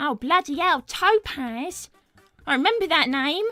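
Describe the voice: At a fairly slow pace, a put-on character voice with a bright, sharp tone and lively intonation sounds dry and close with no echo, with faint music in the background. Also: woman, high pitch for a woman.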